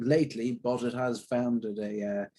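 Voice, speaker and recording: With an Irish accent, a man talks at a medium pitch in a dark, mellow tone. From Southern Ireland. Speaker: actor. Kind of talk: interview.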